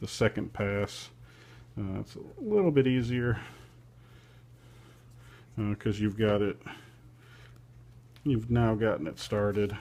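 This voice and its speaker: The man's voice is fairly low, with a dark, mellow tone and fairly even intonation. He speaks at a fairly slow pace, with long, frequent pauses. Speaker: paracord craftsman. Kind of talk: how-to tutorial narration. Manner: monotone.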